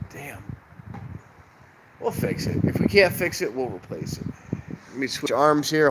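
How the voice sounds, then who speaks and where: Pitch swinging very widely against noticeable background noise. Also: man. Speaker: live streamer, train watcher. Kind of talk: casual live stream chat. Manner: rambling, casual, halting.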